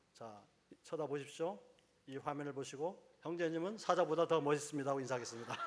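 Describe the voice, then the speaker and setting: Against noticeable background noise, a man talks very fast at a fairly high pitch with ordinary pitch variation. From Jeju Island, South Korea. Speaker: professor and lay speaker at church. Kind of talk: church lecture. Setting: church service with audience.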